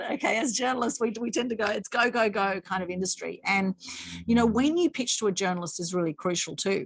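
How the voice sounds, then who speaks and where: A woman with an Australian accent talks at a very fast pace and a fairly high pitch, somewhat breathy, with lively intonation. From Australia, Sydney northern beaches. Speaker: PR consultant and former journalist. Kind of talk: online masterclass presentation.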